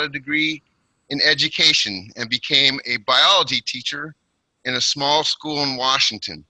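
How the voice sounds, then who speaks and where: Speaking at a moderate pace with a West Coast accent, a man uses a fairly high, bright, sharp voice with ordinary pitch variation in a dry, close sound with no echo. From Portland, Oregon, US Pacific Northwest. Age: 60s. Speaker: retired teacher giving a speech. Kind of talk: prepared personal speech at online club. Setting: online video meeting.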